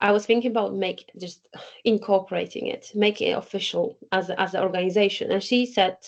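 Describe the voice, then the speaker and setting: At a moderate pace, a woman speaks with a Polish accent. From Poland. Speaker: community organization co-founder. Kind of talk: podcast interview. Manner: halting.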